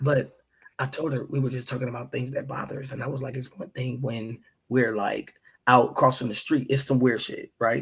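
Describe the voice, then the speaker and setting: Flat, monotone intonation marks this man's medium-pitched, somewhat breathy voice. He speaks at a moderate pace with big swings in loudness. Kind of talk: casual chat. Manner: whispering at times.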